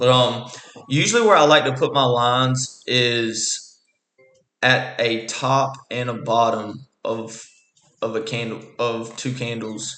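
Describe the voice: Slow and raspy, a man's medium-pitched voice has a bright, sharp tone and ordinary pitch variation, with audible room echo.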